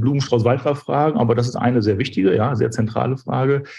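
Speaking very fast, a man uses a medium pitch with ordinary variation and a somewhat breathy voice. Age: 40s. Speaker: brand strategy consultant and business owner. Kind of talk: interview.

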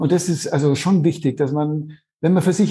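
A man talks at a fairly quick pace in a somewhat breathy, dark, mellow tone, his fairly high pitch held in fairly even intonation against a quiet background. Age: 50s. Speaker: author and parent. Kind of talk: interview. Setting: remote call.

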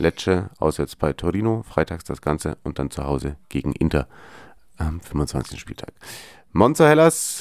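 A man's voice with vocal fry and very wide pitch swings at a fairly slow pace, dry and close with no echo, on a very clean recording with a silent background. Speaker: football podcast host. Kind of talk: casual chat.

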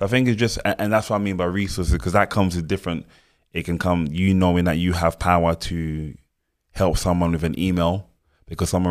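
A man's very deep voice with a London accent, fairly quick and fairly even in intonation, on a very clean recording with a silent background. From Cameroon, grew up in London. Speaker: choreographer. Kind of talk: interview.

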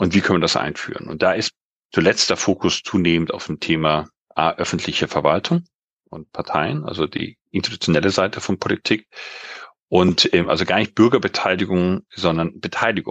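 The sound is dry and close with no echo. A man speaks at a moderate pace in a very deep, low pitch with ordinary pitch variation. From Global South (grew up abroad until 19). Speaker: democracy and governance consultant, researcher. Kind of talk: interview. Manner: halting with many fillers.

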